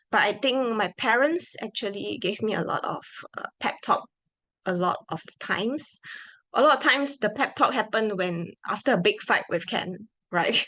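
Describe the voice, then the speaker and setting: Against a quiet background, a woman with a Malaysian accent speaks at a fairly high pitch in a bright, sharp tone with lively intonation. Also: moderate pace. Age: 20s. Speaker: product manager. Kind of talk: conference talk.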